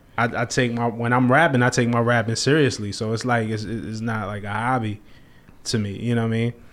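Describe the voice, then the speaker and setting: In a very clean recording with a silent background, a man talks at a fairly quick pace with an American accent. His pitch is medium and his intonation fairly even. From Brooklyn, New York (Flatbush). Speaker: rapper and music journalist. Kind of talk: casual interview chat. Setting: studio.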